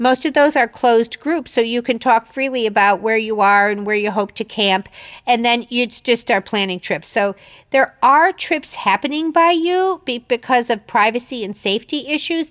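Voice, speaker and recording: Lively intonation marks this woman's ordinary speaking voice, fairly high in pitch, with an American accent at a moderate pace. The recording is very clean, with a silent background and a dry, close sound with no echo. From Chicago, US Midwest. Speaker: podcast host. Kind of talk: casual interview and monologue.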